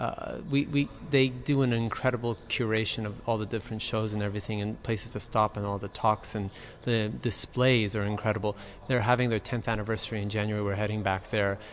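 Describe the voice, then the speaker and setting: A man speaks very fast with an American accent. His intonation stays fairly even. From Los Angeles, California. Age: 30s. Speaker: interior designer. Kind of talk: casual chat.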